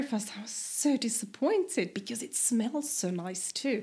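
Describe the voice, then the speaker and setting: A woman with a German accent talks at a moderate pace in a high voice. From eastern Austria, near Vienna. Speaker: podcast guest, expat. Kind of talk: casual chat.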